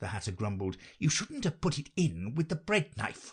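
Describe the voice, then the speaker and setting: A man does a growling, put-on character voice at a fairly high pitch, with very wide pitch swings and a moderate pace. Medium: read story. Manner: abrupt, rude.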